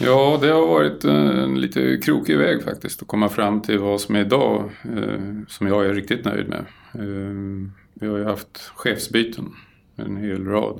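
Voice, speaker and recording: A man speaks at a fairly slow pace with a fairly low pitch. His pitch swings very widely. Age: 60s. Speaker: property caretaker. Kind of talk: interview.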